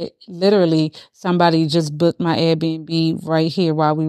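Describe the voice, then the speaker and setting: With an American accent, a woman uses an ordinary speaking voice at a fairly low pitch, moving at a moderate pace with fairly even intonation in a dry, close sound with no echo and a very clean recording over a silent background. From Baltimore, US. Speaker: life coach. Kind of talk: interview.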